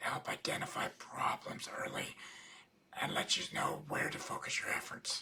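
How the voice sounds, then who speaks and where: Moderately paced whispering amid noticeable background noise. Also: man. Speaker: accountant and business coach. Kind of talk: webinar lecture.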